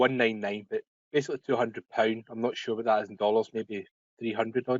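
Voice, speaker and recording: A man speaks with a Scottish accent. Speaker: web services business owner. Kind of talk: webinar Q&A. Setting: online webinar call.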